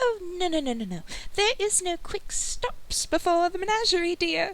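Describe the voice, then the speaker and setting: In a put-on character voice, a woman squeaks at an extremely high pitch with lively intonation and a moderate pace, while light background noise sits behind her. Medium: actual play. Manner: sweet, polite.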